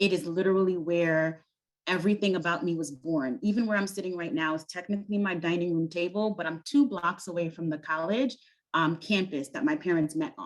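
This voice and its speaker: A woman's fairly low-pitched voice at a fairly quick pace, with ordinary pitch variation. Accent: Brooklyn. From US Northeast, Brooklyn, New York. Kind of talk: panel discussion. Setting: video call, at home.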